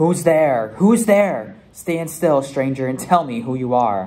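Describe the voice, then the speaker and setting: A man's put-on character voice, growling and fairly high-pitched, at a fairly slow pace. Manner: menacing, demanding.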